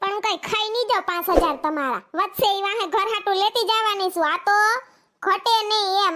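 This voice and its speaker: A woman does a cartoonish character voice, squeaky and extremely high. She keeps a moderate pace with ordinary pitch variation. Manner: chatty, rustic.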